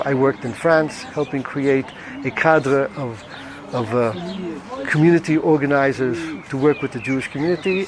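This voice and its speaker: A man with an American accent at a moderate pace, ordinary pitch variation, and music in the background. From New York (Brooklyn). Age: 70s. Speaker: retired social welfare director. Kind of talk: interview testimony. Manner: hesitant with fillers.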